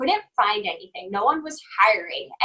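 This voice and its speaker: The voice is raised and projected, bright and sharp in tone, with a slight New Jersey accent. It moves at a moderate pace with lively intonation. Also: woman. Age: 20s. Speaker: health and fitness coach. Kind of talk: interview testimony.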